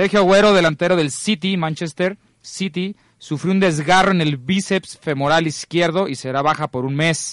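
Recorded in a dry, close sound with no echo and a quiet background, a man speaks with a high pitch and ordinary pitch variation. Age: 20s. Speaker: sports radio host. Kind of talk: casual chat.

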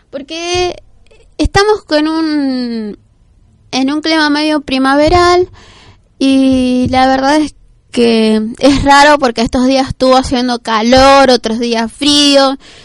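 With ordinary pitch movement, the talking proceeds very slowly. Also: woman, high pitch for a woman. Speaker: radio host. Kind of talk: casual radio talk.

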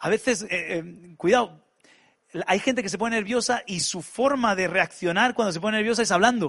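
Moderate pace from a man, with ordinary pitch variation. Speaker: pastor. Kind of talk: sermon. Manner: halting.

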